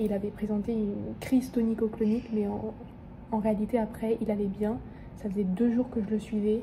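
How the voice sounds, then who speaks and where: A woman speaks at a moderate pace with long, frequent pauses. Her intonation stays monotone and flat, and noticeable background noise can be heard. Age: 20s. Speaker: medical student vlogger. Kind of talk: casual vlog. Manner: hesitant, many fillers.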